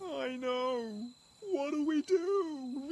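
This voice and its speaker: A female-sounding voice, pitched high, performs a put-on character voice. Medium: fan dub. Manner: nervous, defensive.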